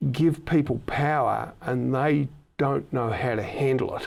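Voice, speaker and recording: In a very clean recording with a silent background, a man with an Australian accent speaks at a fairly high pitch with ordinary pitch variation. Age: 60s. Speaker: podcast host. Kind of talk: casual chat.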